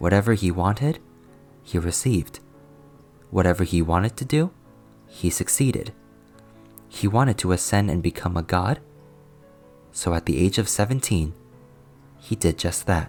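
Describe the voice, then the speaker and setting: A man's very deep, low voice with lively intonation and long, frequent pauses, over music in the background. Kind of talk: fantasy novel narration. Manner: soft, relaxing.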